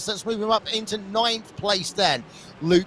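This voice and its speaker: Amid noticeable background noise, a man in an excited tone uses a raised, projected voice at a moderate pace with ordinary pitch variation. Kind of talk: crisp, posh. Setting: esports commentary. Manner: excited sports commentary.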